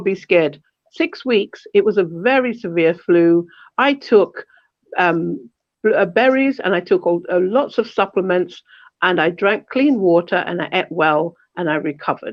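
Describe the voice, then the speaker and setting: A woman talks at a moderate pace and medium pitch. Her intonation is lively. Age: 60s. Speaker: panel speaker at a community event. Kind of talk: online panel talk. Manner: impassioned, rhetorical questioning.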